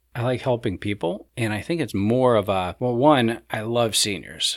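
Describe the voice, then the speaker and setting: A man with an American accent speaks in a plain, everyday voice at medium pitch with ordinary pitch variation. His pace is moderate with hardly any pauses, on a very clean recording with a silent background. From Ohio, US Midwest. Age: 40s. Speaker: realtor and senior care worker. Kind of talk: casual chat.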